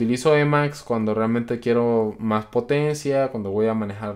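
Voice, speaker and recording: Against a quiet background, a man talks at a moderate pace with a medium pitch and fairly even intonation. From Colombia. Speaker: programming youtuber; programming channel host. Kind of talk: live stream Q&A. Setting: live stream. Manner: casual, many filler words. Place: home room.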